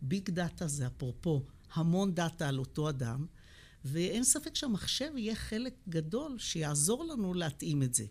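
Very wide pitch swings, a somewhat breathy quality, and very even loudness. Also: woman, fairly slow pace. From Israel, Beersheba (south). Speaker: physician and epidemiology professor. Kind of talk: interview conversation.

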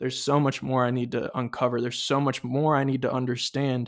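At a fairly quick pace, a man with a normal speaking voice talks in an American accent. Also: very clean recording, silent background. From California. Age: 20s. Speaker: podcast host. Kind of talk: personal testimony.

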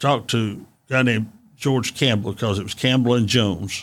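A man with an East Tennessee accent speaks at a moderate pace in a fairly low voice with fairly even intonation, on a very clean recording with a silent background. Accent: Southern US (East Tennessee). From Chattanooga, Tennessee. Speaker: retired engineering executive. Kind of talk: interview.

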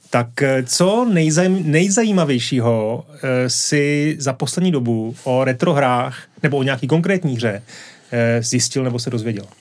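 A man talks in a normal speaking voice at a medium pitch. His pace is fairly slow, with ordinary pitch variation. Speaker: podcast host. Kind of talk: casual interview chat. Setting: studio.

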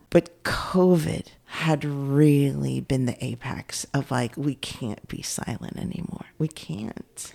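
In an American accent, the speaker uses a dark, mellow tone and lively intonation at a very slow pace. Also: woman, very deep, low pitch for a woman. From US West Coast, San Francisco Bay Area. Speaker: state legislator. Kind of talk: interview.

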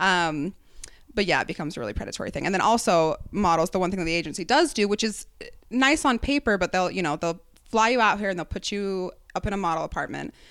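Very fast and lively in intonation, a woman with an American accent talks at a medium pitch on a very clean recording with a silent background. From Utah. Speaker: comedian and model. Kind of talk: casual chat.

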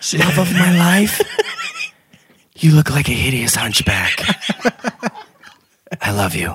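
In a raspy, put-on character voice of middle pitch, the speaker goes at a fairly slow pace with long, frequent pauses. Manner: mocking imitation.

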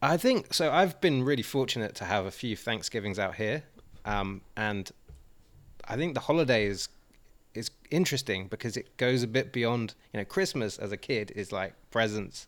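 A man with an English accent talks at a moderate pace in a medium pitch. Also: lively intonation. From Swindon, England. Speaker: guest. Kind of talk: casual banter.

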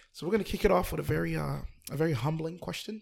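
Speaking at a very fast pace, a man with a fairly high pitch shows vocal fry. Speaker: podcast guest interviewer. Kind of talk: casual chat. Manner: loud; animated.

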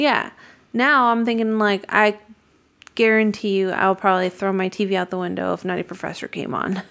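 A woman speaks at a moderate pace in a medium pitch, with ordinary pitch variation. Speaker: podcast co-host. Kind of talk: casual chat. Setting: studio. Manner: loud.

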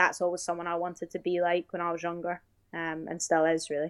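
In a British accent, a woman speaks at a fairly low pitch with monotone, flat intonation, in a dry, close sound with no echo on a very clean recording with a silent background. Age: 20s. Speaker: professional basketball player. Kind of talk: casual interview.

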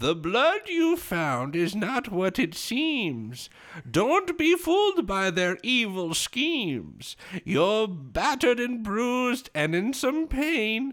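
Putting on a character voice, a man goes sing-song at a very slow pace, his high pitch making very wide swings. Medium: actual play. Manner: cryptic, rhyming, singsong.

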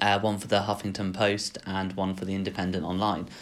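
Here is a man with an English accent. His pitch is very deep and low. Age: 20s. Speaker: vlogger. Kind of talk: personal vlog monologue. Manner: hesitant, many fillers.

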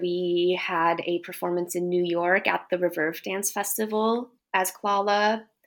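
A woman with a Japanese accent, medium pitch, fairly even intonation and a fairly slow pace. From Japan, with childhood in the US. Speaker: dance artist and choreographer. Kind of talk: interview.

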